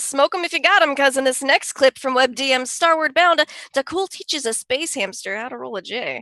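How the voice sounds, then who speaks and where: A woman's raised, projected voice, high in pitch with a bright, sharp tone, at a moderate pace in a dry, close sound with no echo. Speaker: comedy show host. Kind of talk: comedic news-style show hosting.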